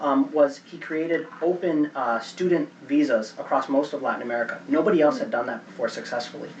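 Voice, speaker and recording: Noticeable background noise sits behind a man's voice. He speaks fairly quickly at a fairly high pitch. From Chicago, US (moved from Venezuela as a child). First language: Spanish. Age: 30s. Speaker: seminar speaker. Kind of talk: Q&A after a talk.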